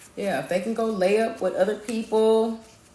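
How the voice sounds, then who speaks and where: The pace is moderate. Audible room echo surrounds the voice. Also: woman. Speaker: tarot or spiritual reader. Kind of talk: live stream spiritual reading. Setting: live stream. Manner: animated.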